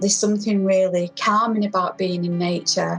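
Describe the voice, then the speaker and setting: A woman speaks at a medium pitch with music playing in the background. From Manchester, England. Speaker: community and social practice artist. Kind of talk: interview answer.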